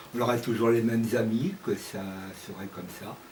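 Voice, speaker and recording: Amid noticeable background noise and audible room echo, a medium-pitched man speaks with ordinary pitch variation. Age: 60s. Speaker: retiree interviewee. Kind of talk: interview testimony.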